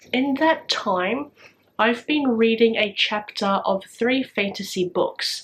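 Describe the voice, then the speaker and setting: A somewhat breathy woman speaks with lively intonation. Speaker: booktuber. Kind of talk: casual vlog talk.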